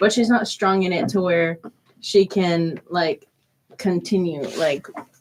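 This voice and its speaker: A woman with an American accent speaks at a medium pitch in an ordinary speaking voice. Her pace is fairly slow, with ordinary pitch variation. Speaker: college student radio host. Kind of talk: casual chat.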